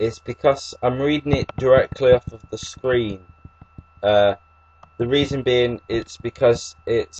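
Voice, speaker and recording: Speaking with an English accent at a fairly slow pace, a man uses ordinary pitch variation in a dry, close sound with no echo. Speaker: YouTuber discussing epilepsy. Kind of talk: reading aloud. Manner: halting.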